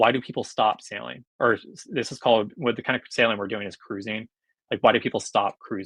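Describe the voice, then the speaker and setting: A man with a normal speaking voice talks fairly quickly at medium pitch with fairly even intonation, the sound dry and close with no echo. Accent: American. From US West Coast, Los Angeles. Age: 30s. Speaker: sailor and newsletter writer. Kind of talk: podcast interview. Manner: casual, filler-heavy.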